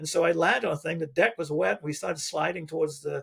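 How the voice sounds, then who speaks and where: This man talks very fast in a fairly high pitch, with an American accent. His voice has vocal fry and ordinary pitch variation. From England. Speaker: retired coast guard pilot. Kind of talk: podcast interview storytelling. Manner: casual, with many fillers and restarts.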